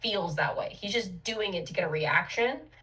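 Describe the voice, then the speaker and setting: Ordinary pitch variation and a fairly quick pace in an ordinary speaking voice. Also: woman. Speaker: marketer and podcast co-host. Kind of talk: casual chat.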